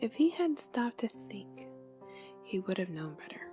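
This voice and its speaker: A gentle, soothing tone at a moderate pace, with music in the background. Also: woman. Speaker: ASMR creator. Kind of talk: fable reading.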